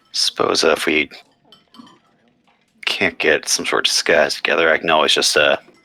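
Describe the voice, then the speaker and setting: In a put-on character voice, a raspy man speaks at a moderate pace with long, frequent pauses and very even loudness, the sound dry and close with no echo. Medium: actual play.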